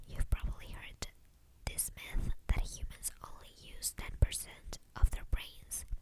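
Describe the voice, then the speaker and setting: The voice is whispering. The pace is very slow. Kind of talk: ASMR whispered facts. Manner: whispered, soft; repetitive.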